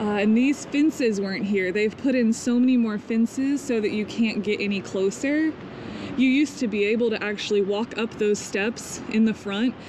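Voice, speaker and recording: A woman at a moderate pace with fairly even intonation, dry sound without echo, and noticeable background noise. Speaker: travel vlogger. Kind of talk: casual vlog chat. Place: street. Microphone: phone near.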